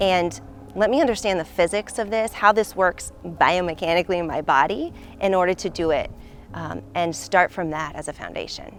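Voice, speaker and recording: With an American accent, a woman talks at a moderate pace in a fairly low pitch, showing vocal fry and ordinary pitch variation. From Indiana, US Midwest. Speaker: actress and stunt performer. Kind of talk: documentary interview monologue.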